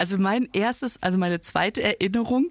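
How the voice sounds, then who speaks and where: Here a woman talks at a moderate pace with ordinary pitch variation in an ordinary speaking voice, the sound dry and close with no echo. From Germany, near Düsseldorf. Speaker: podcast co-host and comedian. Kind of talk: casual chat.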